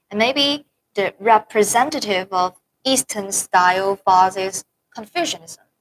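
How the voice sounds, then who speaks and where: A woman with a Chinese accent talks at a fairly slow pace and a medium pitch, her intonation lively. The sound is dry and close, with no echo. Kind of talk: casual chat.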